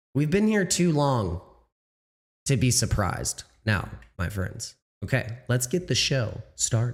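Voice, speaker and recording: With music in the background, a man at medium pitch speaks fairly slowly with very wide pitch swings, very even loudness and long, frequent pauses. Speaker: crypto livestream host. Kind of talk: casual livestream talk. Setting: livestream. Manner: halting.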